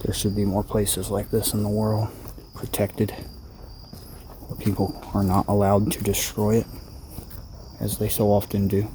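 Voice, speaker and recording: Soft-spoken and fairly low-pitched, a man speaks at a fairly slow pace with fairly even intonation over noticeable background noise. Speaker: survival and prepping vlogger. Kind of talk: nature walk vlog. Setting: outdoors.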